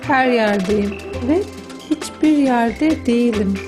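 Music plays in the background as the speaker talks at a very slow pace with lively intonation. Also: woman. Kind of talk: literary reading, audiobook-style narration of a book excerpt.

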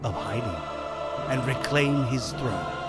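Music plays in the background as the speech unfolds at a very slow pace. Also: man. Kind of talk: movie trailer narration.

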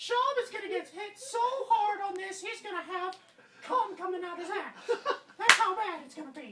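Putting on a character voice, a man speaks at a moderate pace in an extremely high pitch. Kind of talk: trash talk while playing a video game. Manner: taunting, boastful, crude.

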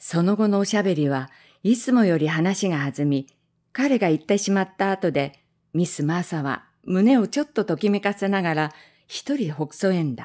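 A woman speaks at medium pitch with a dark, mellow tone and lively intonation. Her pace is moderate, and the recording is very clean with a silent background. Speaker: amateur reading class member. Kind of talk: reading aloud of a translated short story.

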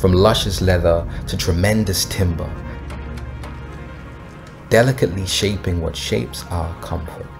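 Music plays behind a man with a very deep, low voice. He talks at a fairly slow pace with ordinary pitch variation. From United Kingdom. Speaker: poet, spoken word artist. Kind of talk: spoken word poetry for a brand film.

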